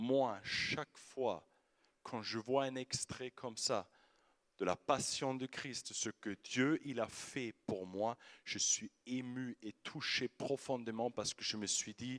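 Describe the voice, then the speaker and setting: With an Austrian accent, a man speaks at a very slow pace and a medium pitch, the sound dry and close with no echo. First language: German (speaking French). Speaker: youth preacher. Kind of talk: sermon. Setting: stage with audience. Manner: animated.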